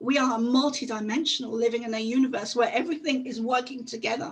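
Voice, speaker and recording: A woman speaks with a high pitch at a moderate pace, her intonation fairly even. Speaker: conference speaker. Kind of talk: talk. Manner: halting.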